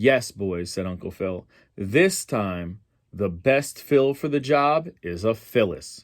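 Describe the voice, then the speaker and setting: A man puts on a character voice that rumbles at a fairly low pitch, with lively intonation and a fairly slow pace. The recording is very clean, with a silent background. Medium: read story. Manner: grumbling.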